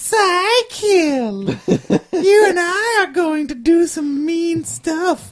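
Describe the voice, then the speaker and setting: In a put-on character voice, the speaker talks at a very slow pace with extremely high pitch. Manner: creepy.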